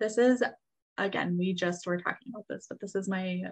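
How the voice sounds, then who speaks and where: A somewhat breathy woman's voice with fairly even intonation at a fairly quick pace. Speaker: podcast co-host. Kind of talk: casual chat.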